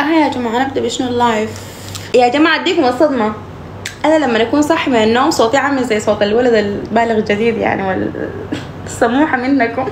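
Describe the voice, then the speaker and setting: Over noticeable background noise and audible room echo, a woman talks fairly quickly in a high voice with ordinary pitch variation. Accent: Sudanese. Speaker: social media live streamer. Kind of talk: casual live-stream chat. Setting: TikTok live stream.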